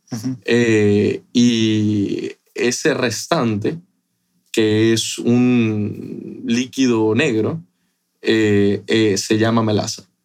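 At a very slow pace, the voice keeps fairly even intonation and very even loudness. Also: man, medium pitch for a man. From Ecuador, Guayaquil. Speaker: rum company executive. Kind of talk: casual interview.

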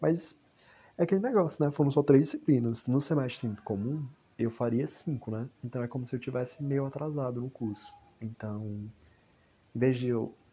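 A man speaks at a moderate pace with a medium pitch and ordinary pitch variation. His voice is somewhat breathy, with long, frequent pauses. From Ceará, Brazil. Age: 20s. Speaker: university student. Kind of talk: personal audio diary monologue. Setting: at home in a hammock at night.

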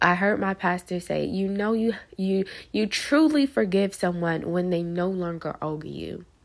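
At a fairly slow pace, the voice shows ordinary pitch variation in a very clean recording with a silent background. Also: woman, medium pitch for a woman. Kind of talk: devotional monologue. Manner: draggy.

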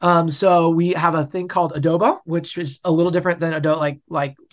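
This man has an American accent. His pitch sits fairly high. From US West, suburbs of Denver. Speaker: youth pastor. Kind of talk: casual chat. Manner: halting, many fillers.

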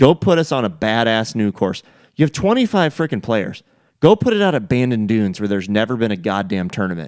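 A man with an American accent speaks very fast, his pitch swinging very widely. The sound is dry and close with no echo, on a very clean recording with a silent background. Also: medium pitch for a man. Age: 40s. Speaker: golf podcast host. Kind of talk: casual chat.

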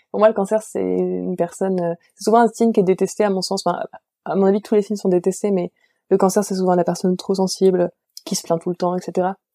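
Recorded dry and close with no echo, a woman at a medium pitch talks at a fairly quick pace in a monotone, flat intonation. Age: 20s. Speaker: literature graduate and bookseller. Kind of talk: casual interview.

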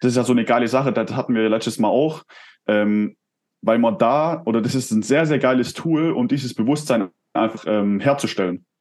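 At a fairly quick pace, a man speaks at a medium pitch with ordinary pitch variation and very even loudness. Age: 20s. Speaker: entrepreneur and performance coach. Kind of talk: casual interview. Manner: hesitant, many fillers.

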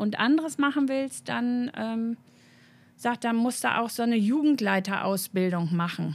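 A woman's unremarkable speaking voice, fairly high in pitch, at a moderate pace. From north-west Germany, between Osnabrück and Münster. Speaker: church youth worker, theologian. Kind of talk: interview.

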